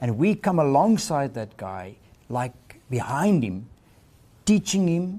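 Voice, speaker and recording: Very slowly, a man speaks in a fairly high, somewhat breathy voice with a dark, mellow tone and very wide pitch swings. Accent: South African. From South Africa. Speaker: ministry leader. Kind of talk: interview.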